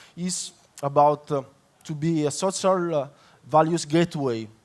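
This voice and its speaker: Speaking in an Italian accent, a man with a fairly high pitch goes at a fairly slow pace with ordinary pitch variation. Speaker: public consultant. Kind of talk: conference talk. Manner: halting, many fillers.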